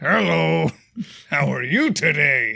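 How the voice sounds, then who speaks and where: This put-on character voice swings very widely in pitch. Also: man, medium pitch for a man. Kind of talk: parody of video game dialogue. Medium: game stream. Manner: stiff, canned, disconnected.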